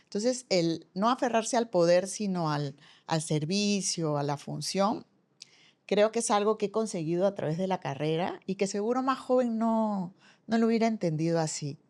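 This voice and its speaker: A woman has a plain, everyday voice at a medium pitch, with lively intonation and a moderate pace. The recording is very clean, with a silent background. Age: 60s. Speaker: former university rector, business school director. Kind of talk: podcast interview conversation.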